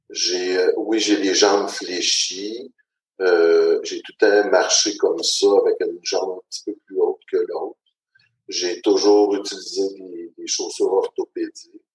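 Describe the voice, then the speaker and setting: A man speaks at a very slow pace, his loudness swinging widely, in a dry, close recording with no echo. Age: 40s. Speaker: transport operations supervisor. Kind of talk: personal testimony. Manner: hesitant, many fillers.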